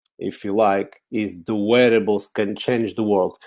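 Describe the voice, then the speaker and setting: With a Portuguese accent, a man speaks in a fairly low, dark and mellow voice at a fairly slow pace. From Portugal, Lisbon. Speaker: technology speaker. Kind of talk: conference talk. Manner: hesitant, many fillers.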